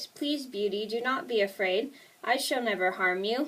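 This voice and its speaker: A woman performs a put-on character voice that is gruff yet gentle in tone, fairly high-pitched with lively intonation, at a moderate pace. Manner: gentle, reassuring.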